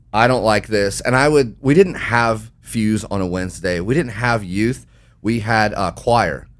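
At a fairly slow pace, a man speaks in an animated tone with ordinary pitch variation. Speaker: young adults ministry leader. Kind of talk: casual chat.

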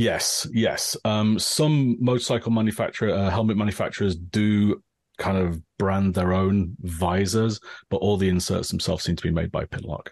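Over a quiet background, a man with a fairly low voice speaks at a moderate pace. His loudness stays very even and his pitch varies in an ordinary way. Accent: English. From northern England, Grimsby. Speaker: engineer. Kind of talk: casual chat.

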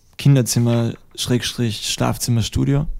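A man's dark, mellow voice at medium pitch with fairly even intonation. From Austria, Styria. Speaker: musician. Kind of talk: interview. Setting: studio.

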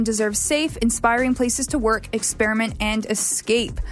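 This woman has an ordinary speaking voice, fairly high in pitch, with ordinary pitch variation and a fairly quick pace. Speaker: radio host. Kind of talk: radio dj patter. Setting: radio studio. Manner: chatty, upbeat, friendly; casual, slightly rambling, with fillers.

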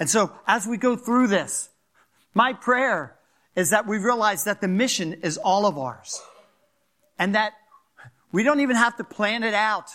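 Projecting a raised voice with a Philadelphia accent, a man speaks at a high pitch in a bright, sharp tone, with ordinary pitch variation, a fairly slow pace, and long, frequent pauses. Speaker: pastor. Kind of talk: sermon. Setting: church.

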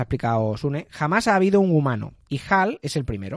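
Over a quiet background, a man with a fairly high voice speaks at a moderate pace, his pitch swinging very widely. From Spain, Valencia region (Gandia). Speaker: podcast host. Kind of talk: casual chat. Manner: animated.

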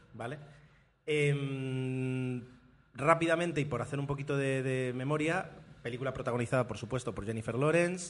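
Fairly even intonation and a moderate pace from an unremarkable speaking voice. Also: man, medium pitch for a man. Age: 30s. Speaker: podcast host. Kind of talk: casual chat. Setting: café.

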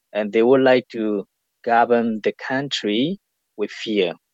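A man with a Burmese accent speaks at a fairly slow pace, his pitch medium. The sound is dry and close, with no echo. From Myanmar. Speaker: community leader. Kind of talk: interview. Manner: halting.

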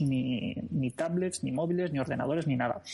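Somewhat breathy, a man talks at a fairly quick pace with a fairly high pitch and ordinary pitch variation. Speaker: psychologist. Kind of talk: casual interview. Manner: fast.

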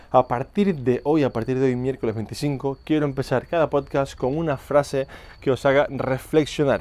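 A man talks in an unremarkable speaking voice with fairly even intonation. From Canary Islands. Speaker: fitness coach and podcast host. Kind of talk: podcast monologue. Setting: outdoors, walking on the street.

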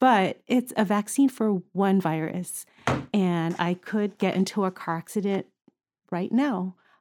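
A woman's normal speaking voice, medium in pitch with ordinary pitch variation, at a fairly slow pace in dry, close sound with no echo. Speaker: pediatric ICU nurse. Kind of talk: casual interview chat.

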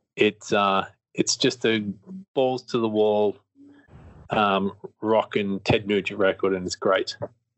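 A man with an Australian accent, fairly low pitch, monotone, flat intonation, a very slow pace and long, frequent pauses. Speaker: podcast host. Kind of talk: casual interview. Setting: video call.

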